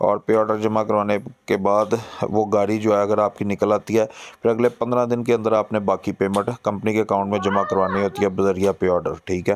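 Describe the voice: Speaking at a fairly quick pace with few pauses, the man has a fairly low pitch that moves very little.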